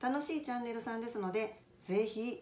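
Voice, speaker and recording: At a moderate pace, a woman speaks with lively intonation. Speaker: cooking channel host. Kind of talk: casual vlog intro. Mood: friendly, smiling. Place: home room. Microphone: phone near.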